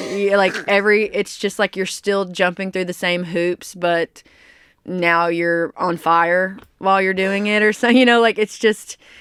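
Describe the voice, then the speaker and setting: A woman with a Southern US accent speaks at a fairly slow pace and medium pitch with fairly even intonation. The recording is very clean with a silent background and a dry, close sound with no echo. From US South, small-town Arkansas. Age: 30s. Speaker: country singer. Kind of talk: interview.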